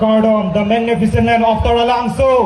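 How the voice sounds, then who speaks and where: A man at a high pitch, with audible room echo and noticeable background noise. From Northeast India. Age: 20s. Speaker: pageant contestant, college student. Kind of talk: self-introduction speech. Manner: formal.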